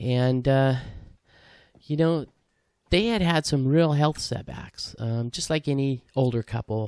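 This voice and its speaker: At a moderate pace and with ordinary pitch variation, a normal speaking voice comes through a very clean recording with a silent background and a dry, close sound with no echo. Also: man. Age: 60s. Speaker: hiking vlogger. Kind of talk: casual vlog monologue. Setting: outdoors on a hiking trail. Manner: casual, many fillers.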